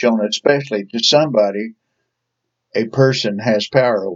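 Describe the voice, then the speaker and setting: With an Ozark accent, a man talks at a moderate pace with ordinary pitch variation, and the sound is dry and close with no echo. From Ozarks, southern United States. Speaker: Sunday school teacher. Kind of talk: Bible study lesson.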